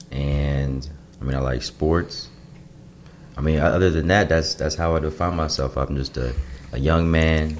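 A man with an American accent speaks at a moderate pace in a very deep, low voice, his intonation fairly even, with long, frequent pauses over noticeable background noise. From Chicago suburbs, US Midwest. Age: 20s. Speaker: guest. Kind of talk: casual chat.

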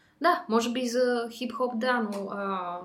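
A woman talks at a very slow pace. Room echo is audible. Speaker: podcast host. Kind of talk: casual interview. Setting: studio.

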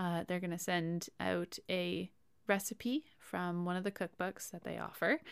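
A woman's plain, everyday voice, fairly low in pitch, with a Canadian accent, fairly even intonation, a fairly slow pace, and a dry, close sound with no echo. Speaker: podcast host. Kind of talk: casual chat. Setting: home recording.

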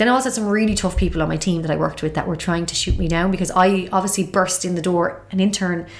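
Speaking very fast, a woman with a strong Galway accent uses a medium pitch. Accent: Irish, Galway, thick. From Galway, Ireland. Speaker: TV presenter. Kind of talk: casual interview chat. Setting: studio.

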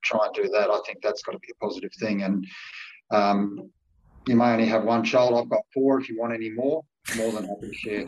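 A man with a plain, everyday voice speaks at a moderate pace and a medium pitch, with ordinary pitch variation. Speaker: panel member asking questions. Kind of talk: casual chat, asking questions.

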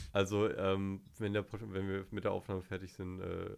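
At a moderate pace, a man speaks with fairly low pitch and monotone, flat intonation. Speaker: podcast guest. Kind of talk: casual chat.

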